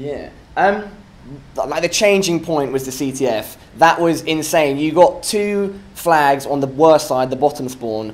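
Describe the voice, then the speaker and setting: This man speaks with a British accent at a fairly slow pace. His pitch variation is ordinary. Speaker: esports interviewer. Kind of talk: post-match interview. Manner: casual, filler-heavy.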